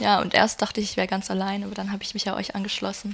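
A woman's medium-pitched voice, monotone and flat, at a very fast pace. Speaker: concertgoer, music fan. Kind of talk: casual chat. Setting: at home in a shared flat. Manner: soft-spoken.

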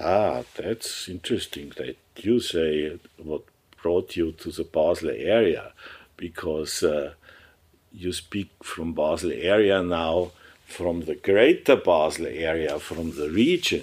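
A man with a German accent speaks at a very slow pace on a very clean recording with a silent background. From Germany, Upper Bavaria. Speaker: surgeon, professor and entrepreneur. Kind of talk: interview. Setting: office. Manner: halting.

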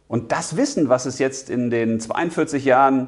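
A man talks in an ordinary speaking voice at medium pitch, with lively intonation. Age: 40s. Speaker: spiritual coach / video host. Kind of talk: motivational monologue.

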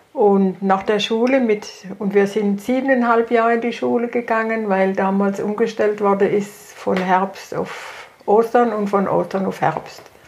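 Over noticeable background noise, a woman speaks at medium pitch with fairly even intonation. Her pace is fairly slow, with hardly any pauses. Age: 80s+. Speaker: retired grandmother. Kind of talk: casual family conversation.

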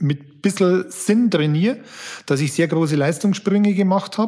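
The speaker is a man. He talks at a moderate pace. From Upper Palatinate, Bavaria (Amberg). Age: 40s. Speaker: banking executive and former endurance athlete. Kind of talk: interview.

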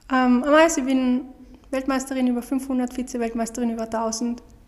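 The delivery is monotone and flat at a moderate pace. Background noise is noticeable. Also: woman. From Austria. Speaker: professional speed skater. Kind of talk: casual interview.

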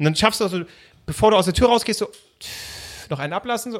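This man sounds animated. His pitch varies in an ordinary way. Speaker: podcast co-host. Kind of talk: casual chat.

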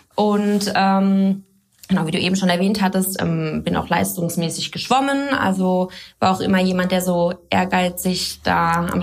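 A woman is talking with ordinary pitch variation. Noticeable background noise can be heard. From Germany, Baden near Karlsruhe, then Middle Rhine (Boppard). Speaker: fitness trainer and physiotherapist. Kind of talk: podcast interview. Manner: many filler sounds.

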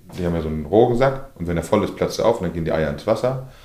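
A dark, mellow tone in a northern German accent, with audible room echo. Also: man. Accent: north German dialect. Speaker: fishmonger. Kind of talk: interview. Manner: mumbling.

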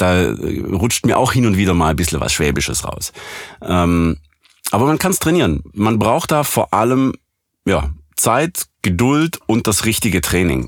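A man with a slight Swabian accent speaks at a fairly low pitch, with vocal fry and very wide pitch swings. His pace is fairly slow and his loudness very even. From Swabia, southwest Germany. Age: 30s. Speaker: professional voice actor and audio engineer. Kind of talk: casual interview.

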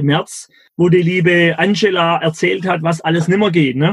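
Heard dry and close with no echo, a man speaks at a high pitch and moderate pace with ordinary pitch variation. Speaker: entrepreneur and mentor. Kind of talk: casual interview. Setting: video call. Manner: animated.

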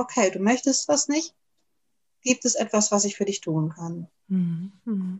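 Fairly slow female speech full of very wide pitch swings. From Germany. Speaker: naturopath and podcaster. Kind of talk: interview.

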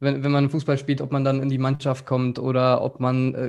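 A man with an ordinary speaking voice, medium pitch, and a fairly quick pace, on a very clean recording with a silent background. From Germany, rural Upper Hesse. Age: 20s. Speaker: agency founder and entrepreneur. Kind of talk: casual interview.

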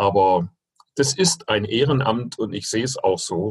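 Somewhat breathy, a man speaks at a medium pitch and a fairly slow pace. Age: 60s. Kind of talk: interview.

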